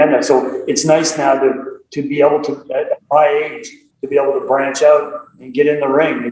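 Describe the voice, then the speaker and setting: Speaking at a moderate pace, a man talks with a Nova Scotia accent. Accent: Atlantic Canadian (Nova Scotia). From Nova Scotia, Canada (Dartmouth). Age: 60s. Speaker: karate instructor. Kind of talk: interview. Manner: animated.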